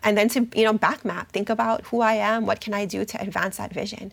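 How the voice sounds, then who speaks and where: This speaker has a Hawaiian accent and a fairly quick pace. The intonation is monotone and flat. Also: woman. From Hawaii, Oahu. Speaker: university program officer and educator. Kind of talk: interview. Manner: hesitant, many fillers.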